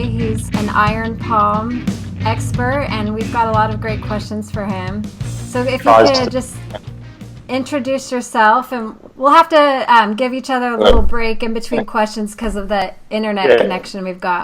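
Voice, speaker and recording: A woman's voice keeps a moderate pace while music plays in the background. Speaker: podcast host. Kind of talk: podcast interview questions.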